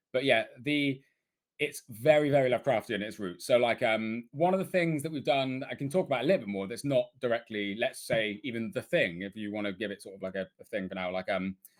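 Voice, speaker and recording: Very fast, medium-pitched male speech with a British accent, lively intonation and big swings in loudness. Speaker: game developer. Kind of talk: interview. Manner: animated.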